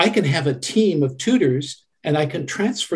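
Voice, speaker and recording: A somewhat breathy man with a Canadian accent. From Canada. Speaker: website administrator, church volunteer. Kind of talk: interview. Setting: video call. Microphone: crackly sound in places.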